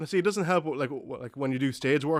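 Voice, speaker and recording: A man with an Irish accent. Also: very clean recording, silent background. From Ireland, Dundalk. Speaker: gaming podcast host. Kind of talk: casual chat.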